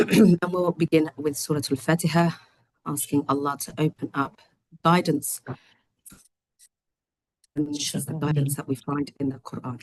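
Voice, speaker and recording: A woman's put-on character voice, very deep and low, croaky and raspy, at a moderate pace with long, frequent pauses, fairly even intonation, and big swings in loudness. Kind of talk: formal, religious.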